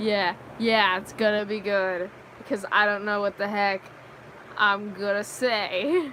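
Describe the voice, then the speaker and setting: Loud and bright, a woman's sharp-toned voice moves at a fairly slow pace. Her intonation is fairly even. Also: medium pitch for a woman. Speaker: livestreamer. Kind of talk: casual chat. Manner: halting.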